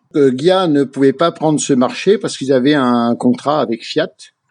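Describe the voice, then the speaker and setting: This man's pitch is fairly high. His pitch variation is ordinary. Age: 60s. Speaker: classic car club founder. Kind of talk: radio interview. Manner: halting, many hesitations.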